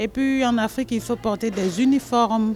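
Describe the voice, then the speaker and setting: Over noticeable background noise, a woman talks at a fairly slow pace in a high pitch. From Ivory Coast. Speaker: association cook. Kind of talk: interview.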